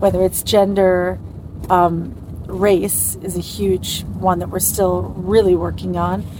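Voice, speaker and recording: A woman speaks with a New York accent at a fairly slow pace. Noticeable background noise runs underneath. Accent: New York American. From US, New York. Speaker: TV showrunner. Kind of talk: interview in a moving car.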